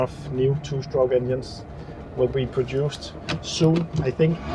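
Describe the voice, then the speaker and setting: A man speaks at a moderate pace and a medium pitch, with ordinary pitch variation and noticeable background noise. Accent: Danish. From Denmark. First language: Danish. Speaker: car restoration YouTuber. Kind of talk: casual video commentary while driving. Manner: relaxed, with frequent fillers.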